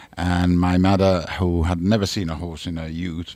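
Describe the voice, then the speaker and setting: At a fairly quick pace, a man with a very deep, low pitch talks in a monotone, flat intonation. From Italy, Milan. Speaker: racehorse trainer. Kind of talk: radio interview. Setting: radio studio.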